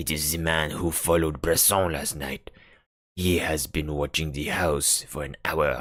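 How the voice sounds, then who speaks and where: Putting on a character voice, a man speaks at a very deep, low pitch and a moderate pace in a monotone, flat intonation. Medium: read story. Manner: blunt, matter-of-fact.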